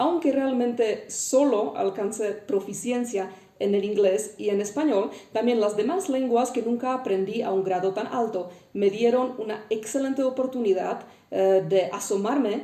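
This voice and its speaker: A woman with a Czech accent speaks at a fairly slow pace, fairly high in pitch with ordinary pitch variation. Noticeable background noise and audible room echo surround her. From Czech Republic. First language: Czech (speaking Spanish). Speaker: linguist. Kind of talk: educational talk. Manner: frequent hesitations (eh).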